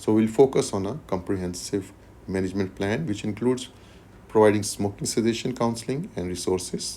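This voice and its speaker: This man talks at a fairly quick pace in a fairly low pitch, his tone dark and mellow, with ordinary pitch variation. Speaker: medical exam tutor. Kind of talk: tutorial. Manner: fast.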